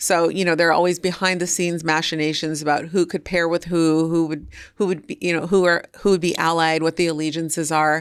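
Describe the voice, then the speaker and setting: With an American accent, a woman talks at a fairly quick pace in a fairly low, monotone voice with flat intonation. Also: very clean recording, silent background. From United States. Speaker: cookbook author. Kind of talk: podcast interview. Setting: studio. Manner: casual, conversational.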